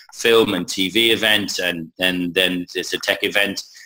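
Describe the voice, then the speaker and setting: An English accent from a man, fairly low and bright, sharp in tone, with monotone, flat intonation. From England. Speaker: conference communications head. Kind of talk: interview. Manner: halting, many fillers and repetitions.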